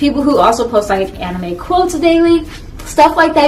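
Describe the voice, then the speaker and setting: Lively intonation marks a woman's speech. Noticeable background noise and audible room echo fill the recording. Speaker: anime YouTuber. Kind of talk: casual vlog talk. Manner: fast.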